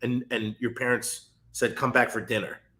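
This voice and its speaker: Delivered at a moderate pace, the speech comes in a plain, everyday voice with an American accent. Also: man. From New York, Westchester (Edgemont). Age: 30s. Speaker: former football player and university staff. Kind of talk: interview podcast conversation.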